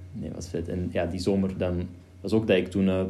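Very deep, low pitch from a man, with a dark, mellow tone, moderate pace and audible room echo. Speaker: podcast host, video creator. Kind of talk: casual chat. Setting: home studio.

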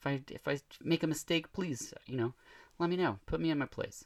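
Captured on a very clean recording with a silent background, a man speaks. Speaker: podcast host. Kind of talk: casual interview chat.

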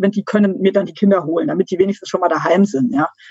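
This is a woman with a voice of medium pitch. There is a somewhat breathy quality to it. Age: 40s. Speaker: veterinary pathologist and researcher. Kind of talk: interview. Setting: video call. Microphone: poor internet audio quality.

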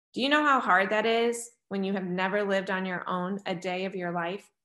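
A woman speaks at a fairly quick pace in a medium pitch, with fairly even intonation over a quiet background. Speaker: churchgoer giving a faith testimony. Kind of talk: testimony.

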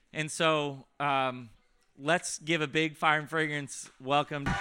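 The recording is very clean and the background silent. In it, a man talks at a fairly high pitch. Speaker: ministry host/leader. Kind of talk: casual teaching, introduction. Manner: casual, animated.

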